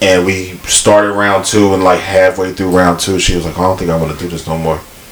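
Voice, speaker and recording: The speaker uses an animated tone at a moderate pace. Noticeable background noise runs underneath. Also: man. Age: 30s. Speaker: podcast co-host. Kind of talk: casual chat.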